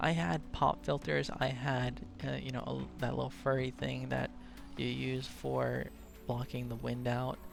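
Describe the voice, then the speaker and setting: With music in the background, a man speaks at a fairly slow pace in a very deep, low pitch marked by very wide pitch swings. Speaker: let's play gamer. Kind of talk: gameplay commentary.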